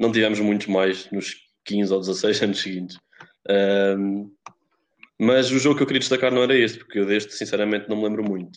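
A man speaks in an ordinary speaking voice at a fairly quick pace, with a fairly low pitch and fairly even intonation. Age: 20s. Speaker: podcast co-host, economics student. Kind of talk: casual chat.

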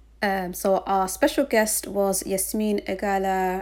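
A woman with an unremarkable speaking voice talks at a fairly slow pace, her pitch medium and her intonation fairly even. The recording is very clean, with a silent background. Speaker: podcast host. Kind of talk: show intro.

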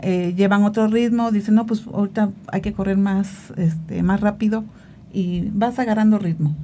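A medium-pitched woman's voice with a dark, mellow tone, somewhat breathy, at a moderate pace with fairly even intonation. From Veracruz, Mexico. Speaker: amateur marathon runner. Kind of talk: casual interview.

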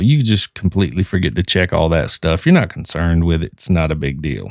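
A man with a Southern US accent and very wide pitch swings, on a very clean recording with a silent background. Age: 40s. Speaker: podcast host. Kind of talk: casual podcast monologue.

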